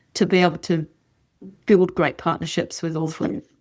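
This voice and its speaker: A woman's voice with an Australian accent. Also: very clean recording, silent background. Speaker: horse breeder and rider. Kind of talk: casual chat.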